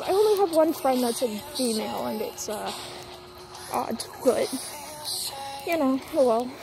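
Over clear music in the background, a woman speaks at a moderate pace in a high voice, the sound dry with no echo. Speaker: dog owner vlogger. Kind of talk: casual vlog chat. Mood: relaxed, a bit venting. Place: street. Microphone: phone near.

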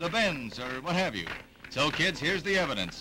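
A man's fairly high pitch with very wide pitch swings, plus noticeable background noise. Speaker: newsreel narrator. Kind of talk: vintage newsreel narration. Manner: wry, playful.

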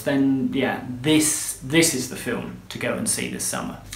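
A man with a British accent at a fairly slow pace, audible room echo around him. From UK. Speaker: film reviewer. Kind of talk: scripted review to camera. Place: home room. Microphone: phone near.

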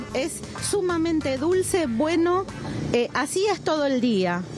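Against noticeable background noise, a woman speaks very slowly with very wide pitch swings, and the sound is dry with no echo. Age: 50s. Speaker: animal foster carer. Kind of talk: interview. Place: street.

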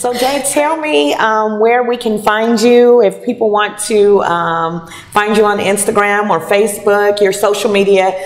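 A woman's fairly slow speech with hardly any pauses and ordinary pitch variation. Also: very even loudness. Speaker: show host and singer. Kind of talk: casual interview. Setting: restaurant venue. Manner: animated. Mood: cheerful, laughing.

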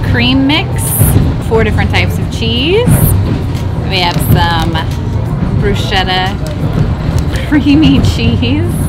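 Her words come very slowly. A woman talks over background music. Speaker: travel vlogger. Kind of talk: casual vlog chat. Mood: cheerful, laughing. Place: train. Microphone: phone near.

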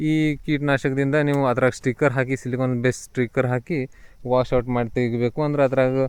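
With a Marathi accent, a man speaks at medium pitch in a monotone, flat intonation and very even loudness. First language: Marathi (speaking Kannada). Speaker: grape farming advisor. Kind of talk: farming tutorial. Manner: halting.

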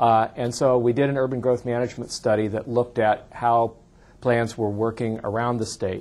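A man speaks at a medium pitch. His intonation is monotone and flat. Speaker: state land use planning official. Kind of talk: lecture. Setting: stage with audience. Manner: fast talker. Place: hall.

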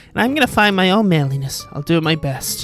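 A man does a put-on character voice, shrill and high in pitch, at a very fast pace. Clear music plays in the background.

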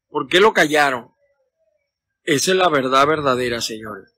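With a bright, sharp tone, a man speaks at a fairly high pitch and fairly slow pace, with ordinary pitch variation and a dry sound with no echo. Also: long, frequent pauses. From Venezuela. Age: 50s. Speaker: political commentator. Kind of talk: casual live stream. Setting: outdoors in a backyard. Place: garden. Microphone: phone near.

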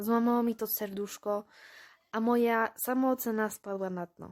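Heard on a very clean recording with a silent background, a woman speaks at a fairly slow pace in a normal speaking voice with fairly high pitch. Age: 20s. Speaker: high school graduate. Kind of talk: interview.

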